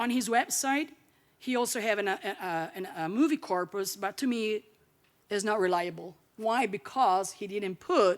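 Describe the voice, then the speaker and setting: The speaker has an Italian accent and lively intonation at a fairly slow pace. The recording is very clean, with a silent background. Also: woman. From Italy. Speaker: linguistics academic, keynote speaker. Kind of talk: lecture.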